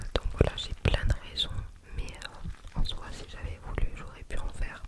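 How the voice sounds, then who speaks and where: The speaker whispers at a fairly slow pace, with long, frequent pauses and big swings in loudness. Noticeable background noise is present. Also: woman. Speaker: ASMR creator. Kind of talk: ASMR casual chat to camera. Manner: whispered; slow, soft-spoken.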